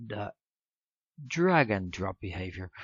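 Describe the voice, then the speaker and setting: A man speaks with a Dutch accent. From Netherlands. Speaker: software tutorial maker. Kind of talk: tutorial. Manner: halting, many fillers.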